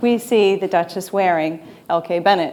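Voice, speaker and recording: This is a plain, everyday voice from a woman in an American accent. Her pitch is medium with ordinary variation, and her pace is moderate. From United States. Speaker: e-commerce consultant. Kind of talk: conference talk.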